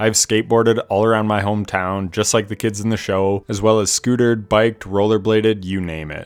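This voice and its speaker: A man with an ordinary speaking voice, fairly low pitch and a moderate pace, on a very clean recording with a silent background. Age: 30s. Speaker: gaming youtuber. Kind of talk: video game review commentary.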